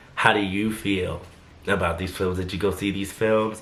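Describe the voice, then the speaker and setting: Against audible room echo, a man talks in a fairly low pitch with monotone, flat intonation. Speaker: YouTuber, translator. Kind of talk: casual vlog commentary.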